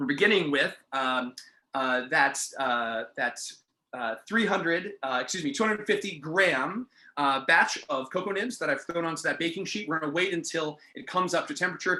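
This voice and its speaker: Speaking in a high voice, a man uses lively intonation. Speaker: bartender teaching a class. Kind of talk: online class tutorial. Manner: fast; many fillers, um and uh.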